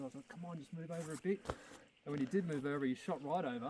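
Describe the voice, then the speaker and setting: Talking at a very fast pace, a man with an Australian accent has a fairly high pitch and ordinary pitch variation. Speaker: hunter. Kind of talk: casual chat. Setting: outdoors. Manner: animated.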